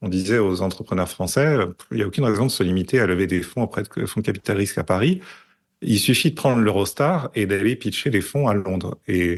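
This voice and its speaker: A man's fairly low voice at a fairly quick pace, with ordinary pitch variation and a quiet background. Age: 40s. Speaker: tech strategist and investor. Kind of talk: podcast interview. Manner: hesitant, many fillers.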